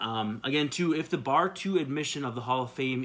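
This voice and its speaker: A man with an American accent at a moderate pace, with ordinary pitch variation. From Minnesota. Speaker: baseball video blogger. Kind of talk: solo video blog commentary. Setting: home office.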